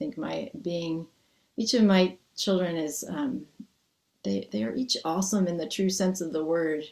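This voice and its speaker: A woman with an American accent and an ordinary speaking voice talks at a moderate pace with a medium pitch and lively intonation. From US Northeast. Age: 50s. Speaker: Zen priest and dharma teacher. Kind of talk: dharma talk with Q&A. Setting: video call.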